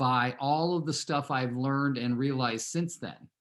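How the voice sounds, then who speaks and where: A man with an American accent, medium pitch and moderate pace, on a very clean recording with a silent background. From Southern California. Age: 60s. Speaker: real estate team leader and coach. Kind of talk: team meeting talk with personal story. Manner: conversational, many fillers.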